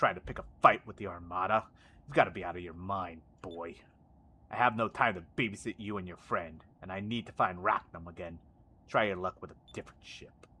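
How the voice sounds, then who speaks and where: A gruff, very deep put-on character voice from a man, delivered at a fairly quick pace. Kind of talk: game character. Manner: dismissive, impatient.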